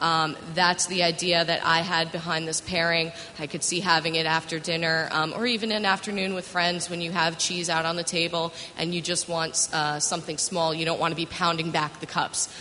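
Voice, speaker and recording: With an American accent, a woman talks at a fairly quick pace with hardly any pauses, a fairly low pitch and monotone, flat intonation over noticeable background noise. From New York, Westchester County. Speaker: wine magazine tasting director. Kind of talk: panel discussion.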